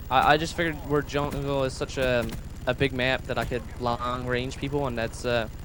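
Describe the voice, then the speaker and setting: A man speaks in a monotone, flat intonation at a medium pitch and a moderate pace, with noticeable background noise. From Canada. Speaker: gaming YouTuber. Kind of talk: gameplay commentary chat. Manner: hesitant, many fillers.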